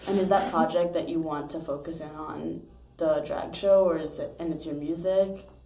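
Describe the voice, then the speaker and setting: A woman talks at a moderate pace and a fairly low pitch, with fairly even intonation. Her loudness swings a lot, and there is audible room echo. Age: 20s. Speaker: podcast host. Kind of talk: casual interview chat.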